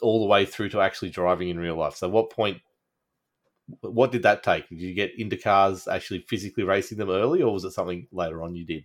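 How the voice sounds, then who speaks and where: A man speaks in an Australian accent with a fairly low pitch and ordinary pitch variation. The recording is very clean, the background silent. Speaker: podcast host. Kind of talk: casual chat.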